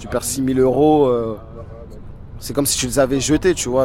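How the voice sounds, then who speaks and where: At a moderate pace, a man with a medium pitch speaks over noticeable background noise. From Paris suburbs, Seine-Saint-Denis. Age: 20s. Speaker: gambler. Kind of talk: testimony. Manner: casual.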